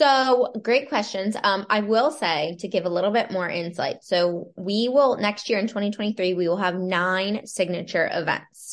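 A woman with an American accent uses an ordinary speaking voice at a medium pitch, with ordinary pitch variation. She keeps a moderate pace with hardly any pauses. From Pennsylvania, Lancaster County. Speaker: entrepreneur and real estate agent. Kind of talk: casual interview.

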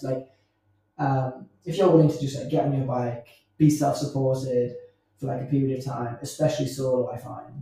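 A man with an English accent speaks at a fairly quick pace in a fairly high pitch. His voice is somewhat breathy, with a dark, mellow tone. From England, small village. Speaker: podcast host. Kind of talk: casual interview chat. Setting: in person recording. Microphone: poor sound quality.

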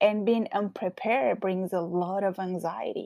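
In a strong Colombian accent, a woman speaks at a fairly slow pace and medium pitch with ordinary pitch variation, the sound dry and close with no echo. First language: Spanish. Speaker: podcast host. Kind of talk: casual monologue.

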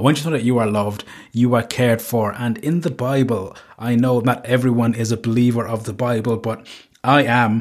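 A man with a Cork accent, fairly quick and monotone, with flat intonation. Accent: Cork Irish. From Ireland, Cork. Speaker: podcast host. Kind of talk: casual monologue.

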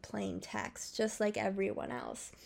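Over a silent background in a very clean recording, a woman speaks at a fairly slow pace. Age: 20s. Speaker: solo podcaster. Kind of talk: personal monologue. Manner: rambling.

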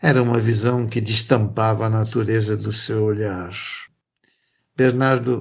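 A man talks very slowly, his intonation staying fairly level throughout. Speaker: podcast co-host and narrator. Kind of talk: scripted narration and poetry reading. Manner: calm, measured, expressive.

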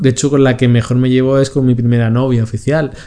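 A man at a fairly quick pace and medium pitch, fairly even in intonation, over noticeable background noise. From Spain. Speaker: podcast co-host. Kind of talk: casual chat.

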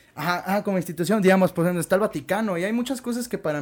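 A man speaks in a high pitch. The recording is very clean with a silent background. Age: 20s. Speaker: musician. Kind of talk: casual interview chat.

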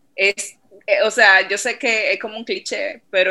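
This woman's tone comes across bright and sharp. She delivers her words at a fairly slow pace. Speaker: marketing and sales manager. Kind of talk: interview.

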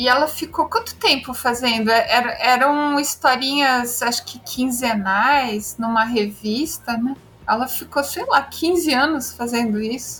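A woman with a high pitch speaks at a fairly slow pace, with ordinary pitch variation and hardly any pauses. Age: 40s. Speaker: writer. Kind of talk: casual chat.

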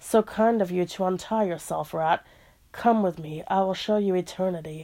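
In a put-on character voice, a female-sounding speaker talks at a moderate pace in a medium pitch, with audible hissing. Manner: hissing, silky, menacing.

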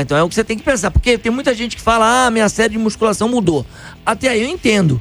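Over music in the background, a man speaks in a high pitch with lively intonation. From Rio de Janeiro state, Brazil (Niterói). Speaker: running coach. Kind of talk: radio interview.

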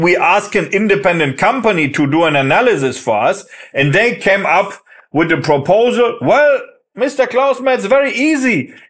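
A high-pitched man speaks at a fairly slow pace with very wide pitch swings. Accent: German. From Germany. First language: German. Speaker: managing director of a software company. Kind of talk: interview.

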